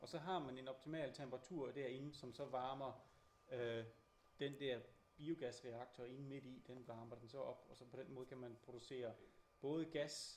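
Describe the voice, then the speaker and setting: With a Danish accent, a somewhat breathy man speaks at a moderate pace and fairly even intonation, with audible room echo and light background noise. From Denmark. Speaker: interpreter. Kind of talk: live interpreting. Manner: halting. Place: hall. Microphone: camera far.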